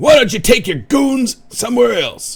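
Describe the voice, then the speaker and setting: Putting on a character voice, a man sounds gruff and stern at an extremely high pitch, speaking at a moderate pace. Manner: authoritative, stern, gruff.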